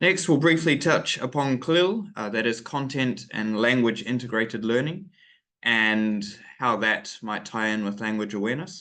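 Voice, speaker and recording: A man with a New Zealand accent speaks at a medium pitch, with very wide pitch swings and a bright, sharp tone. His pace is fairly slow, and the room echo is audible. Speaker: English teacher trainer. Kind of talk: webinar lecture. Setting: online webinar. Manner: hesitant, many fillers.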